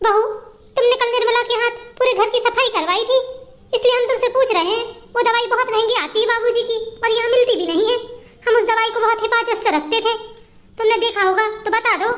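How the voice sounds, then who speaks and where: This is a cartoonish character voice delivered at a very fast pace. The intonation stays fairly even and the loudness very even. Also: woman, extremely high pitch for a woman. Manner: careful, conciliatory.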